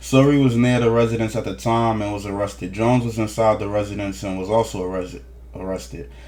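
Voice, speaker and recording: Talking at a very fast pace, a man uses lively intonation at a fairly low pitch. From New Jersey, East Orange. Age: 30s. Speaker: news commentator. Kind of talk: casual commentary reading court documents.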